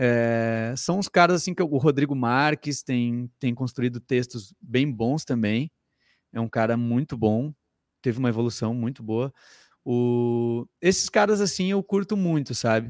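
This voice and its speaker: In a very clean recording with a silent background and a dry, close sound with no echo, a man speaks at a fairly slow pace and a medium pitch with lively intonation. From southern Brazil, interior of Rio Grande do Sul (Sapiranga). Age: 30s. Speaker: comedian and comedy writer. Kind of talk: casual chat.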